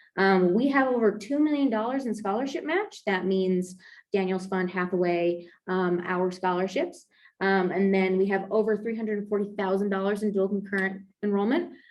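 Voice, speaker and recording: A woman speaks at medium pitch. Her pitch varies in an ordinary way. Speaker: program data coordinator. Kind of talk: presentation seminar. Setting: hybrid seminar, in person and online. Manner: fast.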